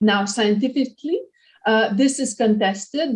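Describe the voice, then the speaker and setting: A woman with a French Canadian accent sounds somewhat breathy. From Quebec, Canada. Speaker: professor. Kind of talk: lecture. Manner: halting, with frequent repetitions and fillers.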